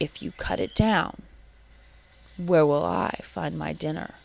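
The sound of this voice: This is a put-on character voice with growling and vocal fry. It moves at a slow pace with fairly even intonation. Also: woman, low pitch for a woman.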